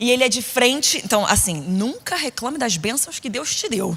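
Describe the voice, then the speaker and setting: Over noticeable background noise, a woman talks in an animated tone at a fairly high pitch, with lively intonation and a moderate pace. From Rio de Janeiro, Brazil (Niterói), later São Paulo. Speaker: preacher. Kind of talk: sermon. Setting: stage with audience at women's conference.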